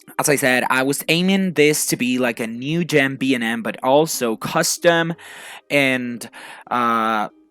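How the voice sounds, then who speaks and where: A man's medium-pitched voice at a fairly slow pace, ordinary pitch variation, and music in the background. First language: not English. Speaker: gaming youtuber, civil engineer. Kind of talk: gameplay commentary. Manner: casual, hesitant with many fillers.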